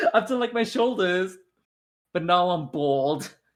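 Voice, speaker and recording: A man speaks in a raised, projected voice with lively intonation. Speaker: content creator and voice actor. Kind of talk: casual chat.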